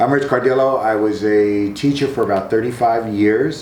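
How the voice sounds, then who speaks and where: A man's fairly low voice with ordinary pitch variation, audible room echo and noticeable background noise. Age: 60s. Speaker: retired teacher. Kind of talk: casual interview.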